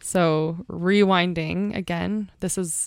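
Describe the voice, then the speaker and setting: A woman with an ordinary speaking voice talks at a fairly low pitch with fairly even intonation, in a dry, close sound with no echo and a very clean recording over a silent background. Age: 20s. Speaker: podcast host. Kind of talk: scripted podcast intro/outro; casual deep conversation.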